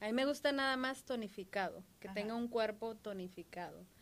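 Bright and sharp in tone, a woman's voice sits fairly high and shows ordinary pitch variation. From Mexico, Michoacán. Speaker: podcast co-host. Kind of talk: casual chat.

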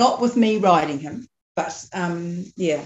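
A woman's fairly low, somewhat breathy voice in a New Zealand accent, with lively intonation. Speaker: dressage rider and farmer. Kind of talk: casual chat.

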